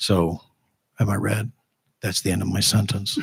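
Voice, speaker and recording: Somewhat breathy and fairly low in pitch, a man talks at a moderate pace. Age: 60s. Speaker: school board candidate. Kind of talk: candidate forum answer.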